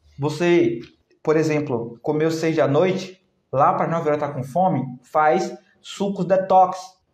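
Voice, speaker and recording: A man's animated, fairly high voice at a fairly slow pace, with ordinary pitch variation and audible room echo. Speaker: naturopath health educator. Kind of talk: live stream talk answering comments. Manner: animated, conversational.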